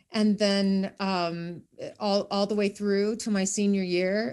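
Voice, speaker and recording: A woman speaks with a Midwestern American accent at a medium pitch. Her intonation is fairly even, and the background is quiet. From northeast Iowa, small town. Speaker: educator and professional speaker. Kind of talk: casual interview.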